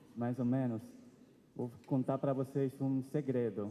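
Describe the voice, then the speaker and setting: A man speaks at a fairly slow pace with an Argentine accent. His tone is dark and mellow at a medium pitch. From Argentina, Buenos Aires. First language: Spanish (speaking Portuguese). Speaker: seminarian preacher. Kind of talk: sermon.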